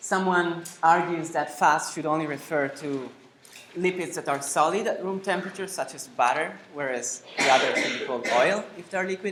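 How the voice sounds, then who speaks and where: Someone speaks at a moderate pace with an Italian accent. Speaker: nutrition lecturer. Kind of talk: lecture. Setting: lecture hall, no microphone. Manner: loud, projecting to large room. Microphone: no microphone, speaking unamplified.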